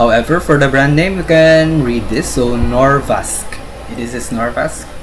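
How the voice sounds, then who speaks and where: A man's medium-pitched voice at a moderate pace, ordinary pitch variation, noticeable background noise behind him. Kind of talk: educational lecture presentation. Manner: hesitant, stuttering, non-fluent English.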